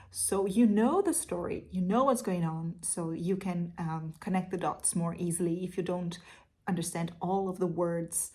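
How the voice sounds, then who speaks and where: A woman's somewhat breathy voice, dark and mellow, at a moderate pace. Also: fairly low pitch for a woman. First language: Portuguese. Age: 30s. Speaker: literature teacher. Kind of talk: casual Q&A monologue. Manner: hesitant with fillers.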